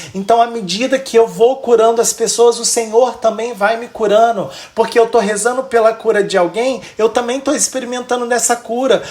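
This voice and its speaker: Noticeable background noise sits under a man speaking at an extremely high pitch. He keeps a moderate pace with hardly any pauses, his intonation monotone and flat. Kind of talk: religious teaching.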